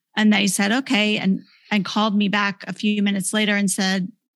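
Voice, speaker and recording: This woman has a normal speaking voice at a medium pitch. She talks at a moderate pace. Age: 40s. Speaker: author. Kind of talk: testimony.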